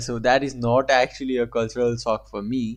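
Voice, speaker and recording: With a non-native accent, a man talks over a quiet background. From Asia. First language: not English. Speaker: reaction video creator. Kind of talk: casual commentary reacting to a video.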